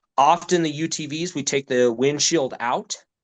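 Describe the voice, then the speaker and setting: Here is an unremarkable speaking voice. Its pitch variation is ordinary. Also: man. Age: 40s. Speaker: outdoor nonprofit leader and hunting guide. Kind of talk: casual interview chat.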